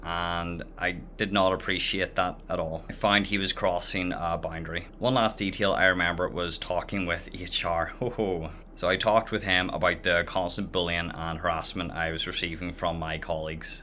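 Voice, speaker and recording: A man's very deep, low voice in a Northern Irish accent, flat and monotone, at a moderate pace. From Northern Ireland. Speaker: former English teacher. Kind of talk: casual talk to camera. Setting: outdoors.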